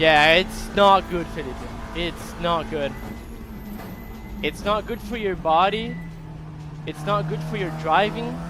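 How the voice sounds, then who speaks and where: A man talks very slowly, pausing long and often, with noticeable background noise behind him. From Brazil. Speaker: sim racing streamer and coach. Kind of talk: casual live stream chat. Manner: halting, many fillers.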